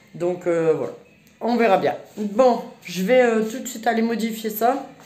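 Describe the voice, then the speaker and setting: The room echo around this woman is audible. She talks fairly slowly, her pitch varying in an ordinary way. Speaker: family vlogger. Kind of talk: casual vlog talk. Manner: casual, hesitant with many fillers.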